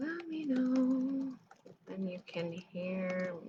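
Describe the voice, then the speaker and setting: Quiet and very slow, a woman speaks. Her intonation is lively. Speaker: library staff host of book show. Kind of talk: casual livestream chat. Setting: livestream from home apartment. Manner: chatty, animated. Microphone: too quiet at first, computer mic.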